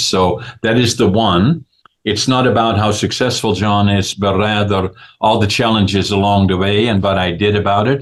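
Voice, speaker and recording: With a Dutch accent, a man speaks at a fairly low pitch and a moderate pace, using fairly even intonation against a quiet background. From Netherlands. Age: 80s+. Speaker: businessman and author. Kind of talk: interview. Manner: halting, many fillers.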